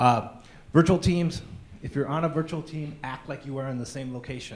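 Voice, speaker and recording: Audible echo from the room colors this recording. In it, a man talks fairly quickly. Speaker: conference speaker. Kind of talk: conference talk.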